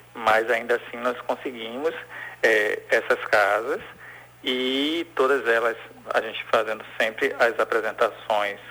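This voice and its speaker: Speaking at a fairly slow pace, a man is heard. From Bahia, Brazil (Salvador). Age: 40s. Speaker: cultural producer. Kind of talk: interview. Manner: halting.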